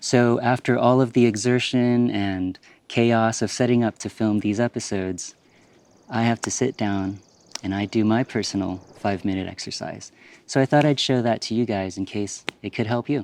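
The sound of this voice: This man is soft-spoken. His tone is slightly mellow. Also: fairly low pitch for a man, ordinary pitch variation, moderate pace.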